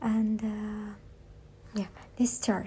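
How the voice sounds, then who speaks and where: Very slow in pace, this voice carries a dark, mellow tone. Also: woman. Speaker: amateur audiobook reader. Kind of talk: casual monologue. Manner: frequent pauses; halting.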